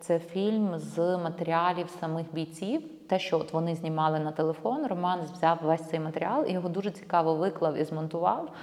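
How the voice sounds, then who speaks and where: Her intonation fairly even, a woman talks at a moderate pace. She has an unremarkable speaking voice with a fairly low pitch. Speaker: documentary filmmaker. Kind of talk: casual interview.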